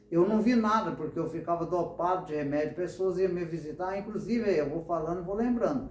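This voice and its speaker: The speech moves at a fairly quick pace with hardly any pauses and ordinary pitch variation. Audible room echo and noticeable background noise surround it. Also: man, high pitch for a man. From Brazil, São Paulo state. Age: 60s. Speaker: church member giving testimony. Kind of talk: testimony.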